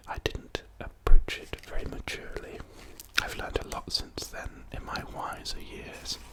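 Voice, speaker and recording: Someone whispers with an English accent. Background noise is noticeable. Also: man. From England. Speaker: ASMR creator. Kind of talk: ASMR talk to camera. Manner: soft-spoken, whispered.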